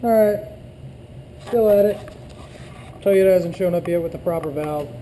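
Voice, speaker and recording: A man's high-pitched voice with ordinary pitch variation at a moderate pace, amid noticeable background noise and audible room echo. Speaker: auto mechanic. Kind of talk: tutorial. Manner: casual, filler-heavy.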